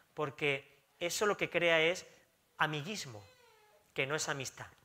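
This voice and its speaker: A man with a bright, sharp tone and a fairly high pitch speaks at a fairly slow pace with lively intonation. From Spain. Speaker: pastor; pastor preaching. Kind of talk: sermon. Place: church.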